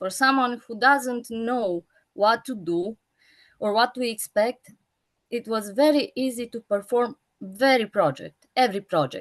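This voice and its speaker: A woman's fairly high voice with a non-native accent, fairly slow and with ordinary pitch variation, in a dry, close sound with no echo. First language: not English. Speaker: school teacher. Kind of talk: panel discussion. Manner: halting, searching for words.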